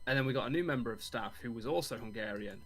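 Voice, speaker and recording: At a very fast pace, a man with an English accent speaks at medium pitch with vocal fry. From England. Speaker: friend of host. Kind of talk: casual chat.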